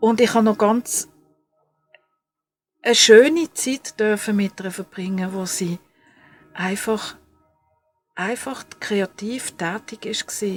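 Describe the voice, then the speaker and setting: A woman with a Swiss accent speaks at a very slow pace and fairly high pitch, with ordinary pitch variation, long, frequent pauses, a dry, close sound without echo and music in the background. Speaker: crafts podcaster. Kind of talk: casual podcast talk.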